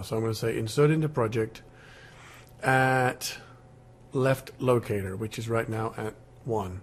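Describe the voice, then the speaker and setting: This man's voice sits at a medium pitch with fairly even intonation. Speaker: music software tutor. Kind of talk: screen-recorded software tutorial. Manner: casual, halting with fillers.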